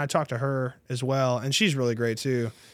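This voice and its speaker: Speaking at a fairly quick pace with an American accent, a man has an unremarkable speaking voice with a fairly high pitch. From North Texas, Tarrant County (Dallas-Fort Worth). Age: 30s. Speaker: real estate agent. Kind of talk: casual interview chat.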